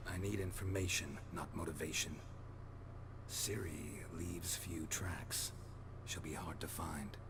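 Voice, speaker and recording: A man whispering in a put-on character voice at a fairly slow pace over loud background noise. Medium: machinima. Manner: dry, laconic.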